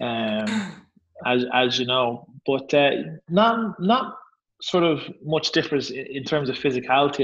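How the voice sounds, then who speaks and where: The speaker talks with an Irish accent over a quiet background. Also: man. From Ireland. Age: 30s. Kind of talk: casual interview.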